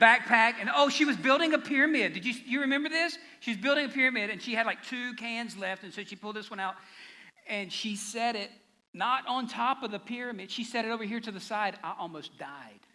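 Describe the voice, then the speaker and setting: An extremely high-pitched man's raised, projected voice, fairly quick, with ordinary pitch variation and big swings in loudness. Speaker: pastor. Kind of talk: sermon. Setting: church. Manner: fast.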